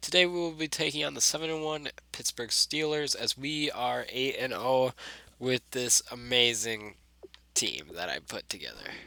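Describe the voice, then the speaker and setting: Bright and sharp in tone, a man speaks at a fairly high pitch with ordinary pitch variation. His moderate pace comes through in a dry, close sound with no echo. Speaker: gaming YouTuber. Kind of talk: gameplay commentary. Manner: casual, conversational.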